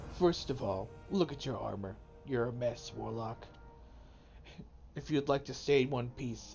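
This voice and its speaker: Using a put-on character voice, a man speaks at a medium pitch and a moderate pace. He leaves long, frequent pauses, and clear background noise runs underneath. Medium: game stream.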